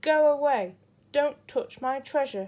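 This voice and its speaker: A woman in a put-on character voice growls in a grumpy tone, raising and projecting her voice at a fairly slow pace with a high pitch and lively intonation. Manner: growling, grumpy.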